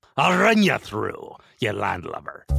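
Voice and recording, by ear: Speaking fairly slowly, a man uses a raspy, put-on character voice.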